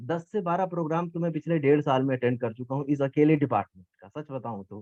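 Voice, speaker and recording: The speaker is a man. He uses lively intonation at a moderate pace. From eastern Uttar Pradesh, India. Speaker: geography teacher and competition judge. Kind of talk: vote of appreciation at an event. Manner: informal, with hesitations.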